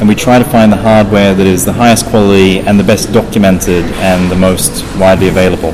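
Noticeable background noise runs through the clip. A man speaks at a fairly quick pace. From Australia. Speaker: software developer. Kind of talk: interview answers. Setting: conference interview in Moscow.

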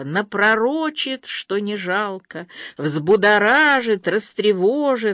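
A natural reading voice moves along with lively intonation.

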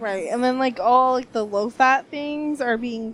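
This is an unremarkable speaking voice from a woman. She talks at a moderate pace with ordinary pitch variation. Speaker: podcast host. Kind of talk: casual interview chat. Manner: casual, humorous.

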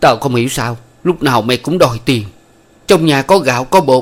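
In a natural voice, someone reads aloud with lively intonation.

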